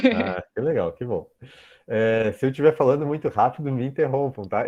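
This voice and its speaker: At a fairly quick pace, a man talks in an ordinary speaking voice with medium pitch and ordinary pitch variation. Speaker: professor. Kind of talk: lecture.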